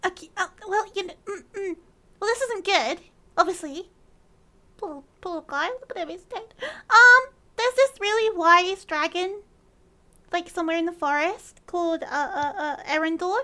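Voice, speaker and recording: In a put-on character voice that sounds female, the speaker uses an extremely high pitch at a moderate pace, with long, frequent pauses. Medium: actual play. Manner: nervous, rambling.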